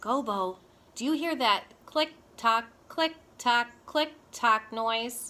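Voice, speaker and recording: In a put-on character voice, a woman draws out her words very slowly at a high pitch. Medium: read story. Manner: fretful.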